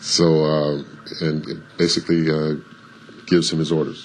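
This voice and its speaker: A resonant, very deep, low male voice at a fairly slow pace, with noticeable background noise. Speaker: voice actor. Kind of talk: interview. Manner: halting, many fillers.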